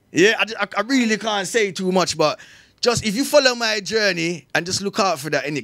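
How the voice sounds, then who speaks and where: On a very clean recording with a silent background, a man with a Jamaican accent speaks at a fairly quick pace. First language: Jamaican Patois. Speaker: dancehall artist. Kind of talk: radio interview. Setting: studio.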